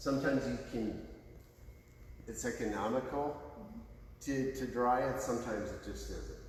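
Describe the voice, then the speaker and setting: A man speaks at a moderate pace with a medium pitch and ordinary pitch variation. The room echo is audible, and there is noticeable background noise. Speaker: facility staff giving a tour. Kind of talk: guided tour explanation. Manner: animated.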